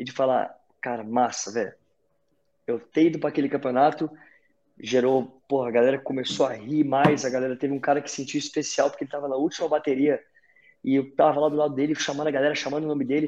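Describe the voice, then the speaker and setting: A man with a fairly high pitch talks very fast, his intonation fairly even. Long pauses come often. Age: 30s. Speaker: CrossFit event announcer and fitness coach. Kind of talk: casual chat.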